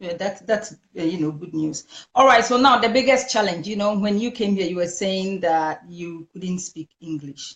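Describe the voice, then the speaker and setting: A woman speaks with a Ghanaian accent. Her loudness swings a lot, while her pitch varies in an ordinary way. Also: medium pitch for a woman, moderate pace. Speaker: talk show host. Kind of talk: interview. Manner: halting.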